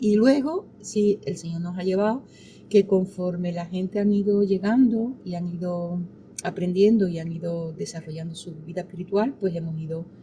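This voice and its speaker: A woman speaks at a medium pitch and a moderate pace, her voice somewhat breathy with a dark, mellow tone. Her pitch varies in an ordinary way while her loudness swings widely. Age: 60s. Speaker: pastor. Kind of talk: interview.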